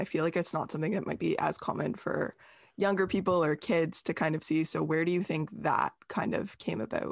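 Speaking at a moderate pace, a woman uses a fairly low pitch with ordinary variation and some vocal fry. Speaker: podcast host. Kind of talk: podcast interview, scripted intro then casual conversation.

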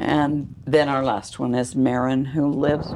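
A woman with a very deep, low voice speaks at a fairly slow pace in an American accent. Her tone is dark and mellow, with vocal fry. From Utah, Salt Lake area. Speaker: retired ward member. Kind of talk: interview, life story. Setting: at home.

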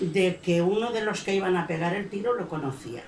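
The speech moves at a fairly slow pace, with audible room echo around it. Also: woman. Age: 70s. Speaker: audience member. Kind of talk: audience testimony. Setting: bookshop event with audience.

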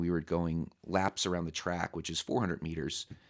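A man's very deep, low voice in an American accent, on a very clean recording with a silent background and a dry, close sound with no echo. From Southern California. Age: 30s. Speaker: podcast guest, high school teacher. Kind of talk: casual interview chat.

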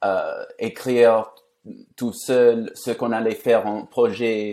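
Very slowly, a man with a non-native accent speaks at medium pitch in a dark, mellow tone. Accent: foreign accent in French. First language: English (speaking French). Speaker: journalist and author. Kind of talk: conversational interview. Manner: halting.

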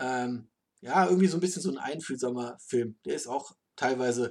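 A man talks in a plain, everyday voice, keeping a moderate pace and ordinary pitch variation. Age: adult. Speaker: car podcast host and moderator. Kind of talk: casual chat.

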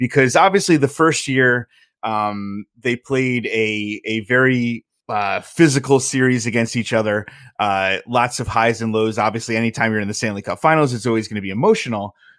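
A man with an American accent has an ordinary speaking voice at a medium pitch, with ordinary pitch variation and a moderate pace. The recording is very clean against a silent background. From Southern Connecticut, US. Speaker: hockey blogger. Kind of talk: casual chat.

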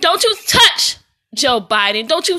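Projecting a raised voice in a bright, sharp tone, a woman with an American accent speaks at a moderate pace. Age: 30s. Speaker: video blogger. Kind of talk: personal monologue rant. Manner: animated, emphatic.

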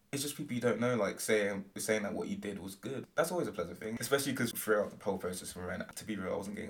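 A man with a British accent, medium pitch and a very fast pace. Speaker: university student and performer. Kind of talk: casual interview.

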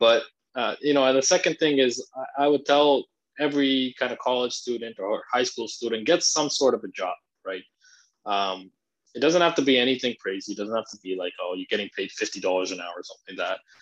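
Fairly quick and lively in intonation, a man talks in an ordinary speaking voice. The background is quiet. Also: medium pitch for a man. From Canada. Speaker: finance content creator. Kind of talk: interview.

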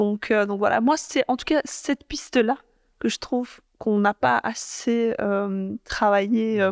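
A woman's fairly high voice at a very slow pace, with ordinary pitch variation, a dry, close sound with no echo and a very clean recording over a silent background. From Belgium, Brussels (Molenbeek). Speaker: politician. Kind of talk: interview. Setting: parliament building. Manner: halting, many fillers.

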